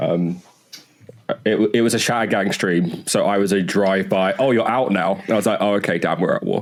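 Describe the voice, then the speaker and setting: A man with a British accent talks at a fairly quick pace in a fairly low pitch. His intonation is fairly even, his loudness very even, and there is noticeable background noise. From UK. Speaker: podcast co-host. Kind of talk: casual chat.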